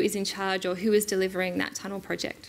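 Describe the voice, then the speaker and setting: A woman talking at a very fast pace. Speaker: conference presenter. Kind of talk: lecture. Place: hall. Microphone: podium.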